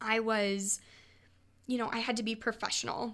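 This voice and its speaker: Captured in a very clean recording with a silent background, a woman with a Midwestern American accent speaks at a fairly high pitch with monotone, flat intonation. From Nebraska. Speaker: podcast co-host. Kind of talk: casual chat. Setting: studio.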